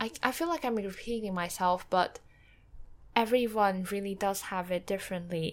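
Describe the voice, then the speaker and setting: A woman speaks at a moderate pace with a Mandarin accent. The recording is very clean, with a silent background. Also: medium pitch for a woman, ordinary pitch variation. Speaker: book podcaster. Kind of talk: solo reflective monologue. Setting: home recording with background noise. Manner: hesitant, many fillers.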